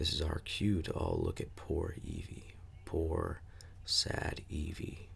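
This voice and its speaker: A soft-spoken man with a gravelly, very deep, low voice and a calm tone, over noticeable background noise. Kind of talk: ASMR book reading. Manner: soft-spoken, calm.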